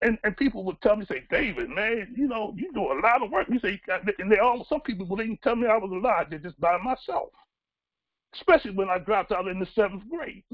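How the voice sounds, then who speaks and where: Lively intonation at a very fast pace over a quiet background. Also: man, high pitch for a man. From Baltimore, US. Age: 60s. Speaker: newspaper publisher and community activist. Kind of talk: personal testimony. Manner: earnest, conversational; halting, with fillers. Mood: earnest, reflective. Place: home room.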